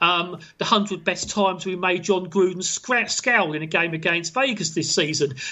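Here a man speaks in a British accent at a high pitch. His pace is moderate, with ordinary pitch variation. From England. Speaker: football fan website runner. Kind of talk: casual interview chat. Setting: phone or video call from England.

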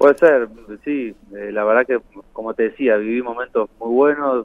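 A man speaks in a plain, everyday voice. His intonation is fairly even and his pace moderate. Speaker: former footballer. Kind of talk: phone interview.

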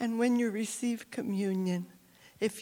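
A woman with fairly even intonation. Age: 70s. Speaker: churchgoer giving testimony. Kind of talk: testimony. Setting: church.

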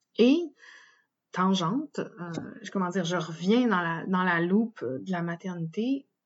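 Speaking very slowly in a Quebec accent, a woman uses a medium pitch and lively intonation. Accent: Québécois French. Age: 30s. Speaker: podcast host and birth doula trainee. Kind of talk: solo monologue. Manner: hesitant, many fillers.

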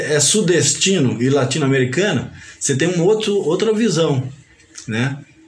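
A man with a fairly high pitch speaks at a fairly slow pace with lively intonation, over noticeable background noise and audible room echo. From Paraíba, northeastern Brazil. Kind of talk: casual interview.

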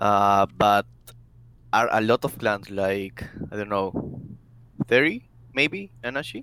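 A man with a fairly low pitch and a Spanish accent speaks at a very slow pace. He leaves long, frequent pauses. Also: ordinary pitch variation, dry, close sound with no echo. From South America. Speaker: gaming clan member. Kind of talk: casual interview. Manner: halting.

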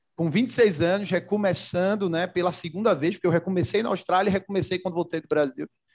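A man with a Recife accent talks at a fairly quick pace with hardly any pauses, his high voice showing ordinary pitch variation. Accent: Pernambuco (Recife). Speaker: logistics executive. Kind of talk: casual interview.

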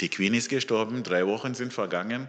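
Against a quiet background, a man with a fairly low pitch and a bright, sharp tone talks fairly slowly with fairly even intonation. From Zimbabwe. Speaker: lay preacher. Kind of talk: sermon.

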